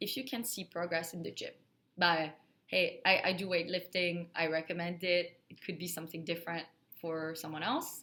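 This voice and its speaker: A woman with a French accent, a fairly low pitch and a bright, sharp tone, at a moderate pace. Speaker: account manager in IT sales, video creator. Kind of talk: casual talk to camera, advice. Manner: casual, filler words.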